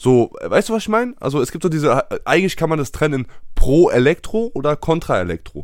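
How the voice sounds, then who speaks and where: A man speaks at a fairly quick pace in a very clean recording with a silent background. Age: 20s. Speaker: podcast co-host. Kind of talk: casual chat.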